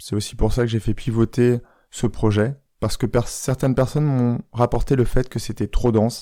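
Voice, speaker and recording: On a very clean recording with a silent background, a soft-spoken man talks at a moderate pace in a medium-pitched voice with a dark, mellow tone. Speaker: life coach, podcaster. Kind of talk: podcast monologue. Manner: soft, intimate.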